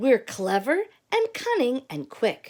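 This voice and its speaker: In a put-on character voice, a female-sounding voice with a high pitch and cheerful tone talks at a fairly slow pace. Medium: read story. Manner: cheerful, teacherly.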